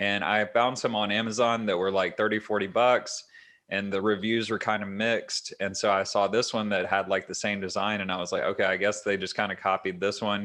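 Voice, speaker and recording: Against a quiet background, a man with a fairly low pitch talks at a fairly quick pace in a monotone, flat delivery with hardly any pauses. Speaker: podcast host. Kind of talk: casual chat. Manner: even, level pitch. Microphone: new webcam microphone.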